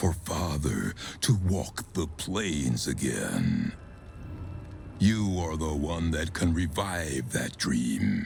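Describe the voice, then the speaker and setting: A man puts on a character voice, very deep and low in pitch. He goes at a very slow pace over clear background noise. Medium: video game. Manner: grandiose, zealous.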